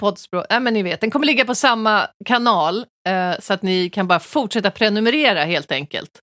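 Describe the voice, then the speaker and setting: Lively intonation marks this woman's unremarkable speaking voice at medium pitch and a moderate pace. The sound is dry and close with no echo, on a very clean recording with a silent background. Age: 40s. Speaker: podcast host, comedian. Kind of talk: casual chat.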